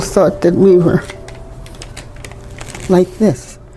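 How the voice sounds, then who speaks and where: Over background music, a woman talks at a very slow tempo. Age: 80s+. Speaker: storyteller recalling segregation era. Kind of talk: interview answer.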